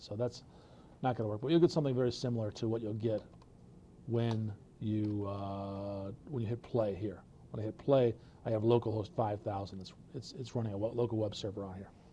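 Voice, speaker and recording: Speaking very fast, a man with a fairly low pitch and a dark, mellow, somewhat breathy tone keeps fairly even intonation while his loudness swings widely over light background noise. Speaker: presenter at developer meetup; presenter. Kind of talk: technical presentation.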